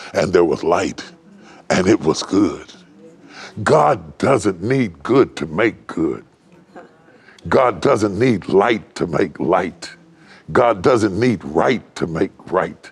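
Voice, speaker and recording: Against noticeable background noise, a man with a fairly low pitch and lively intonation speaks very slowly, with long, frequent pauses. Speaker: preacher. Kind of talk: sermon delivered to a congregation.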